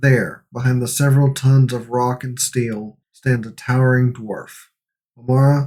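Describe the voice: Over a quiet background, someone reads aloud plainly.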